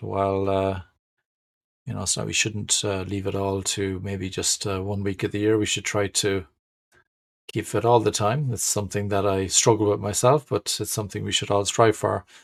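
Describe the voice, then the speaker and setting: A man's fairly low voice with an Irish accent at a moderate pace. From Ireland. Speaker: agile trainer and management speaker. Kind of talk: webinar presentation. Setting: online webinar. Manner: hesitant, many fillers.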